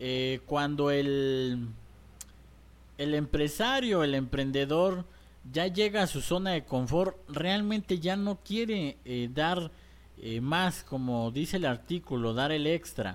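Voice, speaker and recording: A man's fairly high voice at a very slow pace with lively intonation. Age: 20s. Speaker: business coach. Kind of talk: tutorial. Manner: hesitant with fillers.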